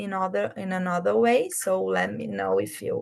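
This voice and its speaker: A woman with a Brazilian accent speaks at a very slow pace. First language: Portuguese. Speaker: project manager. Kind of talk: online presentation. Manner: slow, deliberate; halting.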